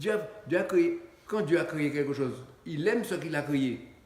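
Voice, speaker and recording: Lively intonation marks a man speaking at a fairly slow pace. Noticeable background noise and audible room echo fill the recording. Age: 80s+. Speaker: pastor. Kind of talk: sermon. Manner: halting, with many repetitions.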